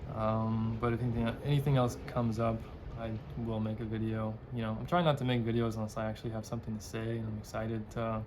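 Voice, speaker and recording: Mumbling at a very fast pace, a man with a medium pitch keeps a flat monotone while the room echoes audibly. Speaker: book vlogger. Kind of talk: casual chat.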